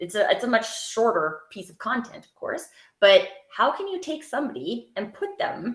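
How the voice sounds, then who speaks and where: The woman talks at a moderate pace. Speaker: TEDx speaker and storytelling coach. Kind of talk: panel discussion.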